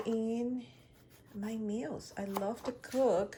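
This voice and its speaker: Over noticeable background noise, a woman speaks at a very slow pace in an Ecuadorian accent. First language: Spanish. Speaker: lifestyle vlogger. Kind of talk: casual vlog narration.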